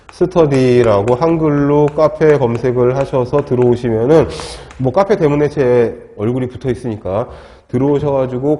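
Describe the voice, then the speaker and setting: Noticeable background noise runs under a man's medium-pitched voice. He talks at a moderate pace with ordinary pitch variation. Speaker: lecturer. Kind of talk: lecture. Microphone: wearing a mask, muffled.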